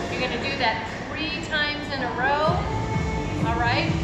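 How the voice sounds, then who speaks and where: A woman's voice with audible room echo over loud music in the background. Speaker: fitness instructor. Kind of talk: tutorial. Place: gym. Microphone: camera far.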